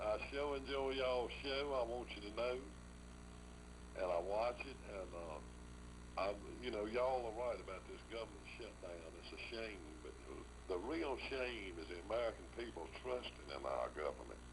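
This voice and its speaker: The voice carries a Southern US accent with very wide pitch swings. Audible room echo surrounds it. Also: man, very deep, low pitch for a man, moderate pace. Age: 60s. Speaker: caller. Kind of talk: call-in talk show.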